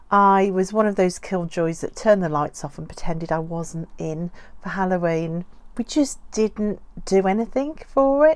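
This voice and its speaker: With a Birmingham accent, a woman speaks at a moderate pace in a medium pitch, her intonation lively. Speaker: doll collector YouTuber. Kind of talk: casual vlog talk.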